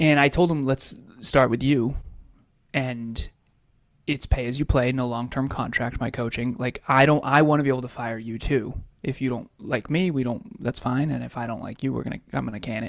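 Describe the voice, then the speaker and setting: A man talks in a plain, everyday voice with an American accent. His pitch is medium with ordinary variation, and his pace is moderate. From US Northeast (Massachusetts). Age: 30s. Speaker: life coach. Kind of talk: interview.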